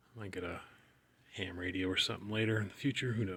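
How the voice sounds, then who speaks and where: Over noticeable background noise, a man with a fairly low voice speaks in a flat monotone. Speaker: car hobbyist. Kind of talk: tutorial. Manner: mumbling; hesitant, many fillers. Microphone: poor audio quality.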